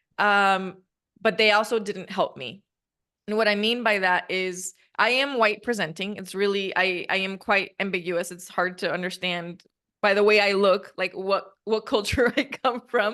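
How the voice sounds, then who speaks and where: The tone is bright and sharp, with a Spanish accent. Intonation stays fairly even. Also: woman, medium pitch for a woman, moderate pace. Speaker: podcast host and coach. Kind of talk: casual interview chat.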